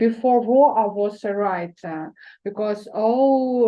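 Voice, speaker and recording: A woman with a Ukrainian accent speaks very slowly at a fairly high pitch. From eastern Ukraine. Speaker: poet. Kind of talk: event talk. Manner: halting, many hesitations.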